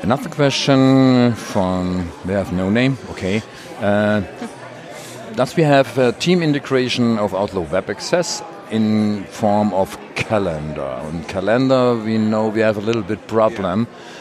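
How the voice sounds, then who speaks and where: A man with a German accent talks at a fairly slow pace with lively intonation and a fairly low pitch, amid noticeable background noise. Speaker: podcast co-host. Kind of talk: casual chat. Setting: booth at a conference.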